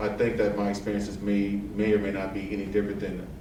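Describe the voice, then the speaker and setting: Amid noticeable background noise and audible room echo, a man with an American accent talks at a very fast pace in a fairly low voice. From Texas, east side of San Antonio. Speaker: air force technical sergeant. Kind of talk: casual interview.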